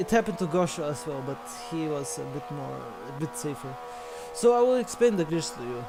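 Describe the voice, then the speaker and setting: A man with a non-native accent talks at a fairly quick pace, his loudness swinging widely, amid noticeable background noise. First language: not English. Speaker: sim racing co-commentator. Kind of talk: live commentary. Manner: halting.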